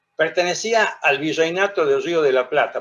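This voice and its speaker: Moderate pace and ordinary pitch variation. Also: man. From Argentina, La Rioja. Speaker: lawyer and lecturer on history. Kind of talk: lecture.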